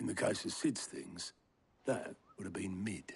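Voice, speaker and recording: A put-on character voice from a man, raspy and delivered at a moderate pace. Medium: video game. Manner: blunt, gruff.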